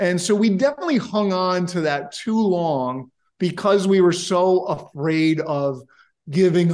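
A man with a New York State accent speaks in a high, animated voice with ordinary pitch variation against a quiet background. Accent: American, New York State. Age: 40s. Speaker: software company founder. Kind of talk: interview.

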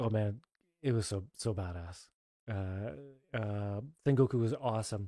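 A man speaks at a fairly slow pace in a fairly low pitch with ordinary pitch variation. His tone is dark and mellow, and the recording is very clean with a silent background. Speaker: former MMA fighter. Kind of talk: casual chat.

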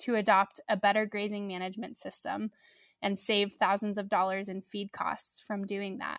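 A woman with an American accent speaks at a moderate pace in a bright, sharp tone at medium pitch, the sound dry and close with no echo in a very clean recording with a silent background. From US Midwest, southern Missouri Ozarks. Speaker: agtech startup co-founder. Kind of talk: interview.

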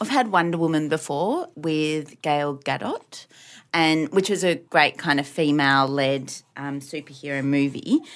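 A woman with an Australian accent, fairly low in pitch, at a fairly slow pace. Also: very clean recording, silent background. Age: 30s. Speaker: podcast co-host. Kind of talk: casual chat.

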